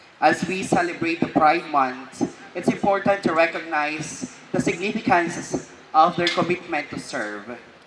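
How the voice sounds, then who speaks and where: The speech moves at a fairly slow pace with hardly any pauses, against noticeable background noise. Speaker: official speaking at ceremony. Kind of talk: formal speech. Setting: oath-taking ceremony at city hall. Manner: formal.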